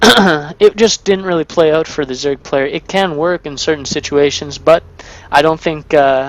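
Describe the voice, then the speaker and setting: This man's moderate pace and ordinary pitch variation come through over noticeable background noise. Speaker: game commentator. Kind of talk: live commentary. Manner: casual, filler-heavy.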